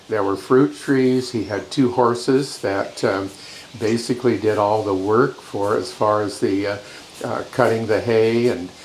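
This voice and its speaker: A man's fairly slow, fairly even delivery in a Pacific Northwest accent, amid noticeable background noise and audible room echo. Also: medium pitch for a man. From Washington state, Yakima Valley. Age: 80s+. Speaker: interviewee recalling family farm. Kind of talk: interview reminiscence. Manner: halting, many fillers.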